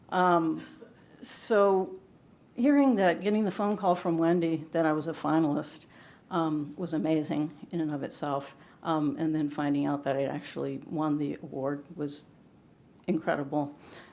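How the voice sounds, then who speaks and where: Audible room echo surrounds a woman with a very deep, low pitch. She talks at a moderate pace with ordinary pitch variation. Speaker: poet, award winner. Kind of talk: award acceptance speech; introducing a poetry reading. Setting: stage with audience at ceremony. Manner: halting, many fillers.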